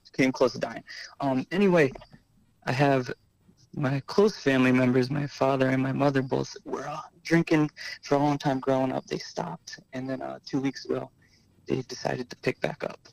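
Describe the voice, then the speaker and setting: A man with an American accent and a plain, everyday voice speaks at a fairly quick pace. His pitch is medium, his intonation fairly even, and the sound dry and close with no echo. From Connecticut. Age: 20s. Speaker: hospital worker in recovery. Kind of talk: call-in question.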